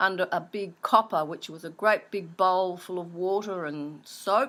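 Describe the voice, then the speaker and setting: A woman at medium pitch with an Australian accent and a bright, sharp tone, at a fairly slow pace in a very clean recording with a silent background. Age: 60s. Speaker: interviewee recalling childhood. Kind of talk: oral history interview.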